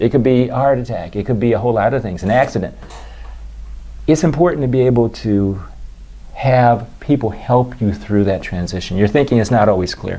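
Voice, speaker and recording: A man's a normal speaking voice, medium in pitch with ordinary pitch variation and a fairly quick pace. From Washington D.C. area. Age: 60s. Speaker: dermatologist. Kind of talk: interview.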